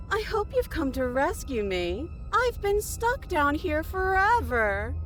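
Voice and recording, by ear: Clear music plays in the background while a put-on character voice, high in pitch, moves at a fairly slow pace.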